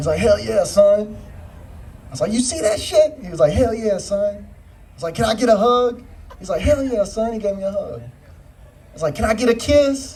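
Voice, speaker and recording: A man's animated, high-pitched voice with lively intonation, big swings in loudness, and a moderate pace, amid audible room echo and noticeable background noise. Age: 20s. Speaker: stand-up comedian. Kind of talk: stand-up. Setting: stage with audience.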